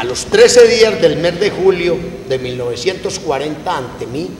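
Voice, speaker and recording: A man's fairly slow speech is heard with noticeable background noise behind it. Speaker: stage actor playing a notary. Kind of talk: theatrical reading of a legal document. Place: stage. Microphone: camera far.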